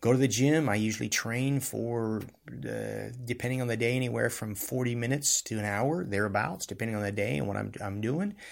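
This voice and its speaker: A man talks at a fairly quick pace with ordinary pitch variation. The recording is very clean and the background silent. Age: 50s. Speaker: podcast host and martial arts teacher. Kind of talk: solo talk on self-improvement. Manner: casual, conversational with filler words.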